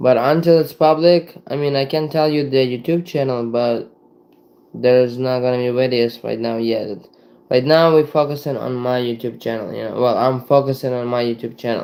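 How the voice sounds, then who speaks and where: A man with a non-native accent, medium pitch, fairly even intonation and a moderate pace. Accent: foreign. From Ukraine. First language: Ukrainian and Russian. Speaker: livestreamer. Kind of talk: casual livestream chat.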